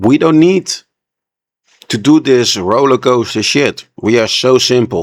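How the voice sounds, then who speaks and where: A fairly slow pace broken by long, frequent pauses. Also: man, medium pitch for a man. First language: not English. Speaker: reaction video creator. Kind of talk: reaction commentary. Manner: animated.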